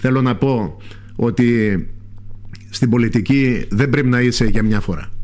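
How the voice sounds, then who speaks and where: Recorded with audible room echo and noticeable background noise, a man speaks. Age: 60s. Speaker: parliamentary candidate. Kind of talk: radio interview. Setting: radio studio.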